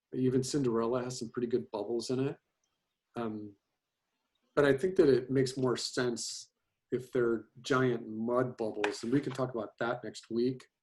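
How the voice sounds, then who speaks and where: Speaking at a moderate pace, a man uses a plain, everyday voice at a medium pitch with fairly even intonation. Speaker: animation teacher. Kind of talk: lecture. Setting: video call.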